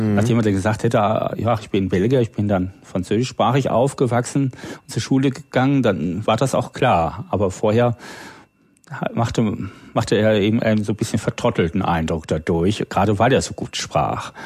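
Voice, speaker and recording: A man with an unremarkable speaking voice talks at a moderate pace, with a fairly low pitch and ordinary pitch variation. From northern Germany (Low German area). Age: 40s. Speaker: freelance programmer and language enthusiast. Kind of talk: casual chat.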